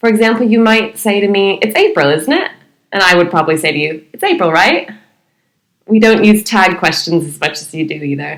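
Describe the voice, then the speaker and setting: In a normal speaking voice, a woman with an American accent talks at a fairly quick pace, medium in pitch with ordinary pitch variation. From United States. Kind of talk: podcast discussion.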